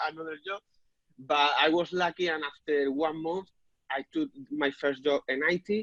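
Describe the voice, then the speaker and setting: The speaker has a Spanish accent and keeps a moderate pace. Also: man. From Spain. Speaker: property business owner and software developer. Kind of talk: interview. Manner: halting, many repetitions.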